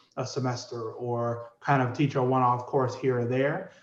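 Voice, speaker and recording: A man speaks at medium pitch and a moderate pace. Audible room echo surrounds his voice. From New Orleans, US South. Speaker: psychology professor. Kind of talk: interview. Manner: hesitant, many fillers.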